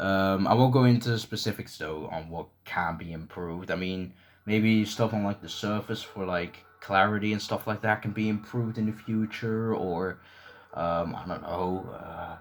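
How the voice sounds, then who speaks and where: A mumbling man at a fairly low pitch, moderate pace and fairly even intonation. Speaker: gaming YouTuber and leaderboard moderator. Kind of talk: Q&A video, casual monologue. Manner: hesitant, many fillers.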